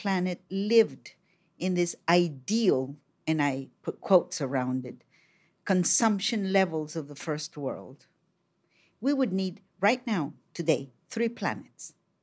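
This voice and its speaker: In a very clean recording with a silent background, a woman with a Colombian accent speaks fairly slowly at a fairly low pitch, her voice making very wide pitch swings. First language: Spanish. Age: 60s. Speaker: poet, filmmaker and regional editor. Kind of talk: casual interview conversation. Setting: studio.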